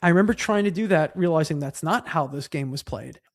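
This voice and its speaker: In a very clean recording with a silent background, a man speaks with a Long Island accent. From Long Island, New York. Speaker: bass player in a punk band. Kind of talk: casual podcast chat.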